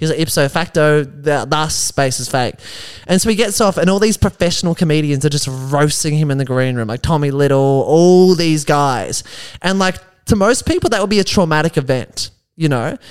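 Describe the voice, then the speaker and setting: A man with an Australian accent talks in a fairly high pitch. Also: ordinary pitch variation, moderate pace. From Melbourne, Australia. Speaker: stand-up comedian. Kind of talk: casual chat.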